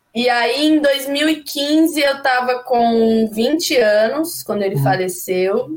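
Speaking at a very slow pace with hardly any pauses, a woman uses a high pitch and lively intonation. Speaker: singer-songwriter. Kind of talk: casual chat. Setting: studio. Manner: animated.

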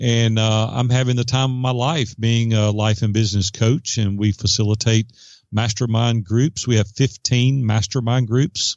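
An unremarkable speaking voice from a man of medium pitch, with fairly even intonation at a moderate pace. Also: very even loudness. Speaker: entrepreneur and business coach. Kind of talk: interview.

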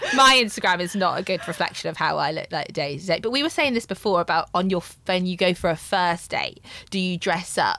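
Over noticeable background noise, a woman with a medium pitch speaks at a fairly quick pace with lively intonation. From English Midlands. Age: 30s. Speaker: podcast guest. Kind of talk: casual chat. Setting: studio.

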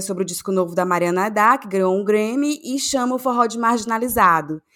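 A woman speaks with a Cearense accent on a very clean recording with a silent background. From Ceará, Brazil. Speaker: podcast co-host. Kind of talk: casual chat.

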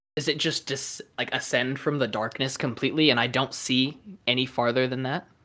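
An ordinary speaking voice from a man of medium pitch at a moderate pace, on a very clean recording with a silent background. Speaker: tabletop game player. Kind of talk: recap narration then game session.

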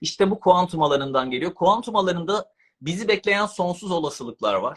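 A man with a high pitch, at a moderate pace, with lively intonation. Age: 40s. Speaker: author and subconscious mind coach. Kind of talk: interview about personal development.

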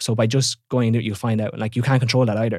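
With an Irish accent, a man talks very fast at a medium pitch and with fairly even intonation. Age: 20s. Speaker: online fitness coach. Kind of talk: casual chat.

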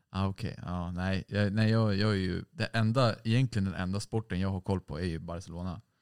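A man with a plain, everyday voice talks at a fairly quick pace and fairly low pitch, with fairly even intonation and hardly any pauses. The sound is dry and close with no echo, in a very clean recording against a silent background. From Sweden, Stockholm (Hägersten). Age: 20s. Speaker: musician in a band. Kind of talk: casual chat.

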